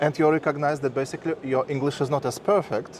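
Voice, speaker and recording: With a Russian accent, a man talks at a moderate pace in a fairly high pitch, over noticeable background noise. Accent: Russian, harsh. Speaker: interviewer, marketer. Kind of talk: interview.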